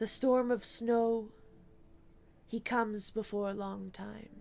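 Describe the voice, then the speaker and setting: In a put-on character voice, the lines come at a fairly slow pace with monotone, flat intonation. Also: woman, fairly high pitch for a woman. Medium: read story. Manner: nervous, broken phrasing.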